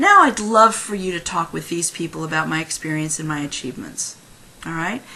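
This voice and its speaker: A woman with ordinary pitch variation, amid noticeable background noise. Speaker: career consultant. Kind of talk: tutorial. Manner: fast.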